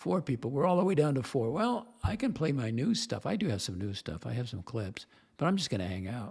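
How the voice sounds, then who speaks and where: On a very clean recording with a silent background, a somewhat breathy man at medium pitch talks fairly quickly with very wide pitch swings. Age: 70s. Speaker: livestream host. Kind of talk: casual chat.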